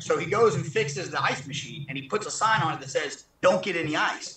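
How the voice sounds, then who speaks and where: With audible room echo, a man in a Southern US accent speaks in a raised, projected voice at a moderate pace. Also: quiet background. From southern Mississippi, rural. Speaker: former federal prisoner. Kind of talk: interview; interview answer. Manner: halting. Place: garden. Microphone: video call.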